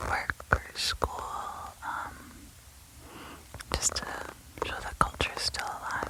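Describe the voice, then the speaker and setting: A woman is whispering. Noticeable background noise is present. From Yellowknife, Northwest Territories, Canada. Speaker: storyteller and radio host. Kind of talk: ASMR show-and-tell, casual talk. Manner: soft-spoken.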